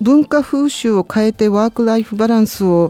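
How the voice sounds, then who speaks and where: The tone is dark and mellow, with lively intonation at a fairly quick pace. The sound is dry and close, with no echo. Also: woman. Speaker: international labour organization official. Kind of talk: educational talk.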